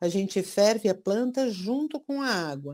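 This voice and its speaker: A woman speaks at a fairly slow pace in a dark, mellow tone. The recording is very clean, with a silent background. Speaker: nutritionist and herbal medicine specialist. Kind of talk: interview.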